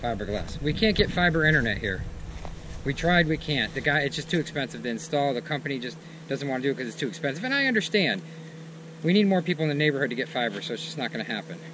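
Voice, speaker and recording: Over noticeable background noise, the words come at a very fast pace. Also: man. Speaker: vlogger. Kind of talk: casual vlog chat. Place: open country. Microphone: phone near.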